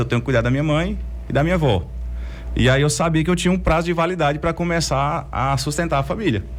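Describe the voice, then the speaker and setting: A man speaks at a very fast pace with very even loudness. Audible room echo surrounds his voice. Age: 30s. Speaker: entrepreneur. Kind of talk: interview.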